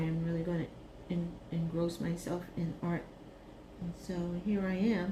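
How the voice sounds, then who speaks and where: With audible room echo, a woman in an American accent sounds somewhat breathy and relaxed, her intonation monotone and flat. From Brooklyn, New York. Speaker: retired teacher, craft video creator. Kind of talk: casual craft vlog chat. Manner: slow, relaxed.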